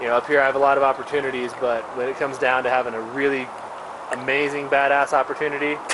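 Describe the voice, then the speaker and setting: A man with an American accent talks at a very fast pace in a monotone, flat delivery over noticeable background noise. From Texas, Missouri City. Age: 30s. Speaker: ski shop worker. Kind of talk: casual chat.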